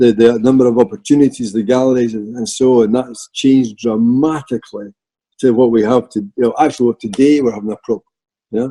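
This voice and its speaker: A man talks very fast with a Scottish accent and a medium pitch. His tone is dark and mellow, and his intonation fairly even. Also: dry, close sound with no echo. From Scotland. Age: 60s. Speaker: artist. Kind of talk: casual chat. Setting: video call.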